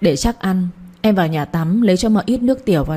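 Someone reads aloud in a natural voice.

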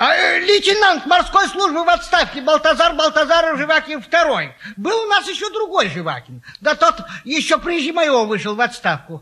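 A man's put-on character voice, extremely high and bright with a sharp edge, big pitch swings, a fairly quick pace and few pauses

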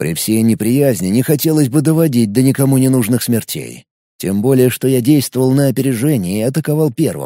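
The reading aloud is plain, with ordinary pitch variation and a quiet background.

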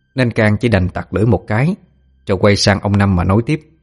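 Pitch moves with ordinary variation throughout a stretch of plain reading aloud.

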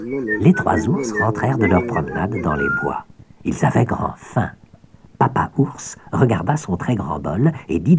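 The natural reading voice carries lively intonation.

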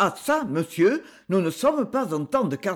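Natural-voiced reading, done aloud

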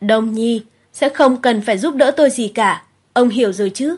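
A put-on character voice, hissing and fairly high in pitch, at a moderate pace. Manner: menacing, hissing, stressing each word.

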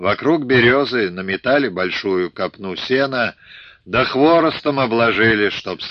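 Lively intonation throughout plain reading aloud

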